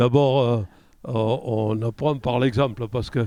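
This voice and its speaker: A man's medium-pitched voice, dark and mellow in tone, at a very slow pace with fairly even intonation. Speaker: interview guest recalling childhood. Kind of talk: interview answer.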